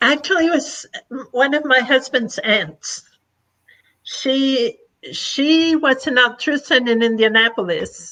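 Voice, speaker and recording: Using a raised, projected voice, a woman speaks very slowly at high pitch with a bright, sharp tone, lively intonation, very even loudness, and long, frequent pauses. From Argentina, then Florida from age twelve. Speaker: past president of a service organization. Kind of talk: podcast interview.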